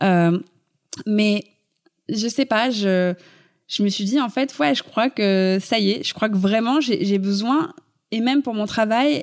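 A woman at a fairly high pitch, very slow in pace, with ordinary pitch variation. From Paris, France. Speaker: fashion blogger. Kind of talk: interview.

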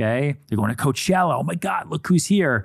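A man with a normal speaking voice, fairly quick and lively in intonation, on a very clean recording with a silent background. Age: 30s. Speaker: podcast host and real estate agent. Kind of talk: casual chat.

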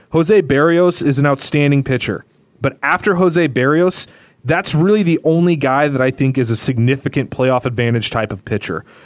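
Pitch moves in a typical way at a medium pace. The speaker has a plain, everyday voice. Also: man, fairly high pitch for a man. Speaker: podcast host. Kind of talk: casual sports podcast banter.

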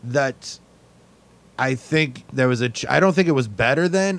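Moderate pace and lively intonation in a man's fairly high voice, a plain, everyday voice. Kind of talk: casual chat.

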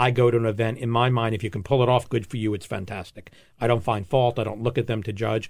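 A man talks very fast at a medium pitch with an American accent. The recording is very clean, with a silent background. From New York, Long Island, then Florida. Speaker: food festival founder. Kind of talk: casual interview. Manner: animated.

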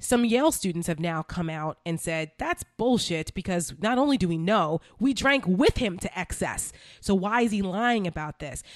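A woman with an American accent speaks at a medium pitch and a moderate pace, with hardly any pauses and an animated tone. The sound is dry and close with no echo, on a very clean recording with a silent background. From New Jersey. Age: 40s. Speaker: political podcast host. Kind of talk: casual political commentary.

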